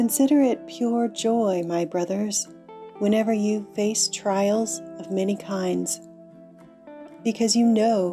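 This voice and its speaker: Over background music, a woman speaks very slowly in a calm tone, at medium pitch with fairly even intonation. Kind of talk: bible reading for meditation.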